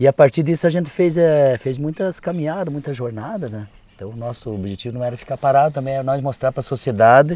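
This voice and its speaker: A man's fairly high voice with a dark, mellow tone, at a very fast pace, with big swings in loudness and ordinary pitch variation. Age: 60s. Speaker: landless movement settler, farmer. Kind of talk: interview testimony. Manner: halting, many fillers.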